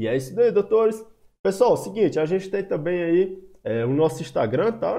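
Lively intonation at a moderate pace, dark and mellow in tone, against a quiet background. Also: man, high pitch for a man. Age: 20s. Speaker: finance educator. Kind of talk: online course lesson. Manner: casual, conversational. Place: home room. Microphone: webcam.

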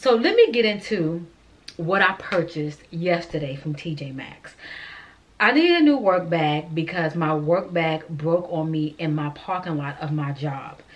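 A woman speaks at a fairly slow pace, her pitch fairly low and her pitch variation ordinary. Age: 40s. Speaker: lifestyle vlogger. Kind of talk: casual vlog talking to camera. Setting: in a car in a parking lot. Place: home room. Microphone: camera far.

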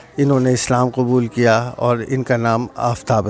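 With faint music in the background, a man talks at a fairly slow pace in a dry sound with no echo. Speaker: local channel reporter. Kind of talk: street report to camera, appeal. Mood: earnest, pleading. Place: street. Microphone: handheld.

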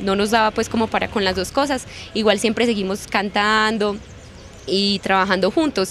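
At a moderate pace and with fairly even intonation, a woman speaks over light background noise. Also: dry sound with no echo. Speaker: actress. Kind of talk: interview answer. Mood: warm, grateful. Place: street. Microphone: handheld.

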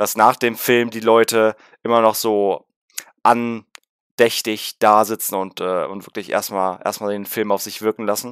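Over a quiet background, a man speaks at a fairly low pitch in a flat monotone, the sound dry with no echo. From Berlin (Rudow); Berlin. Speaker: gaming YouTuber. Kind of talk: film review vlog. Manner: casual, many filler sounds.

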